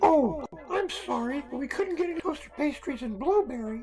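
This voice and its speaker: A put-on character voice is pitched high and moves at a moderate pace. Background noise is clearly audible. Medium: audio drama. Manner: casual, friendly.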